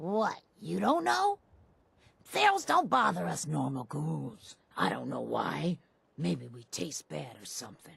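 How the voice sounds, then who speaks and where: Raspy and fairly slow, the put-on character voice comes with long, frequent pauses. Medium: video game. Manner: wheedling.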